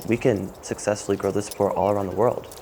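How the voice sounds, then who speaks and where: An American accent against noticeable background noise. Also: man. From US South, Fayetteville, North Carolina. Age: 20s. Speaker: professional climber. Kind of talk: documentary interview.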